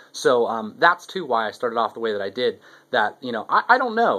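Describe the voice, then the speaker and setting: The speech races along at a very fast pace, its intonation fairly even. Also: man. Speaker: video blogger. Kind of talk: casual monologue. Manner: halting, many repetitions.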